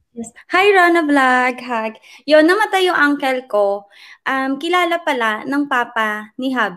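A woman's high, bright, sharp voice with very wide pitch swings at a fairly slow pace, on a very clean recording with a silent background. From Philippines, Orion Bataan. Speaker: vlogger. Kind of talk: interview.

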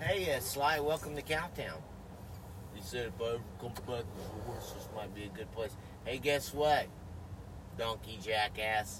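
A man talks at a moderate speed in a fairly low voice, with noticeable noise behind him. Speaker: podcast co-host. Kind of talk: casual banter, profane. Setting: outdoors at a park.

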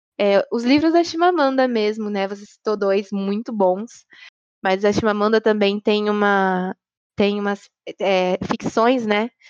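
Woman at medium pitch, fairly slow pace and ordinary pitch variation, dry, close sound with no echo. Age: 20s. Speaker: obstetrics student. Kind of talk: casual discussion.

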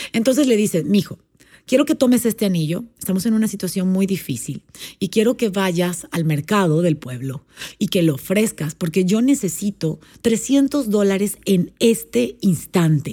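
The voice has a dark, mellow tone, somewhat breathy and with very wide pitch swings, delivered at a moderate pace on a very clean recording with a silent background. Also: woman, medium pitch for a woman. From Panama. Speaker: life and business coach. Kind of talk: storytelling; casual interview.

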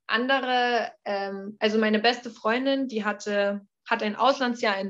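A woman with a fairly high pitch and ordinary pitch variation in a plain, everyday voice, over a quiet background. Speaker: former exchange student. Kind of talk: interview.

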